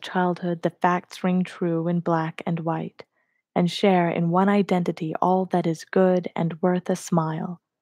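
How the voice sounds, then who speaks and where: Soft-spoken and gentle in tone, a woman with a dark, mellow voice talks at a fairly slow pace in a very clean recording with a silent background and a dry, close sound with no echo. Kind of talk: poetry reading. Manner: gentle, soft-spoken.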